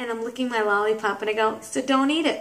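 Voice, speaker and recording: Delivered in a New York accent, the speech has an animated tone and lively intonation, with audible echo from the room. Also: woman. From Brooklyn, New York. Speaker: comedian, vlogger. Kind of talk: casual vlog monologue.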